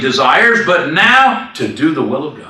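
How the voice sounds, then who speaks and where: A raised, projected voice makes very wide pitch swings. Audible room echo and noticeable background noise surround it. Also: man. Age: 60s. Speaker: minister. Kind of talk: sermon. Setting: church.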